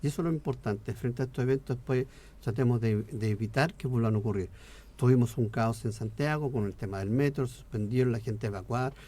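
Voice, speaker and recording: A man with a dark, mellow, somewhat breathy tone speaks at a very fast pace. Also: medium pitch for a man, ordinary pitch variation. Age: 60s. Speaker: politician. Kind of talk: radio interview.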